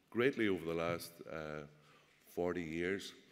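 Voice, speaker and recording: The speaker has a Northern Irish accent, a moderate pace and ordinary pitch variation. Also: man. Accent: Derry. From Northern Ireland, Derry. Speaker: politician and press officer. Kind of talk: political speech. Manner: hesitant, many fillers.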